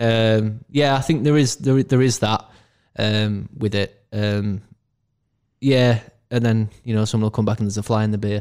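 A man with a Yorkshire accent at a moderate pace, fairly even in intonation, with long, frequent pauses. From northern England, Castleford, West Yorkshire. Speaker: brewery owner. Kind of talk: casual chat. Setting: in person recording.

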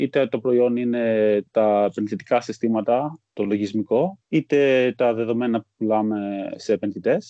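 At a fairly slow pace, a man talks with a medium pitch. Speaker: stock exchange employee. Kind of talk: interview. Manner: halting.

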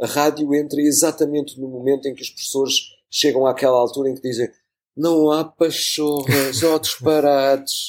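A man with a fairly high voice speaks at a moderate pace in a flat monotone, recorded very cleanly against a silent background. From Portugal, Lisbon. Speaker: journalist and radio producer. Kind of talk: casual interview conversation. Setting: studio.

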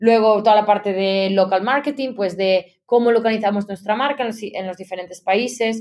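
A woman with an unremarkable speaking voice talks at a moderate pace using fairly even intonation. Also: fairly high pitch for a woman. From Galicia, Spain (A Coruña province). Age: 30s. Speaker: marketing executive. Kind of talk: interview.

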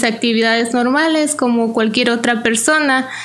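With audible room echo around her, a woman speaks at a fairly high pitch with fairly even intonation. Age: 30s. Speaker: cancer survivor. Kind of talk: testimony. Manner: halting.

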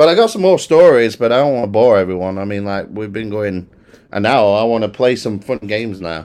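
With a British accent, a man speaks at a fairly quick pace, his fairly low pitch showing ordinary pitch variation. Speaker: podcast host. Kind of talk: casual banter podcast. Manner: joking, animated.

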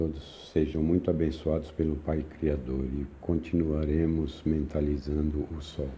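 Somewhat breathy, a man speaks at a very deep, low pitch in a monotone, flat intonation. He keeps a fairly slow pace with hardly any pauses. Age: 60s. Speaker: spiritual group leader and chemistry professor. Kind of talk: recorded spiritual talk. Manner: halting.

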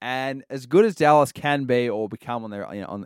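Speaking with an Australian accent in an animated tone and ordinary pitch variation, the voice comes through dry and close with no echo on a very clean recording with a silent background. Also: man. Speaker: podcast co-host. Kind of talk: casual sports chat.

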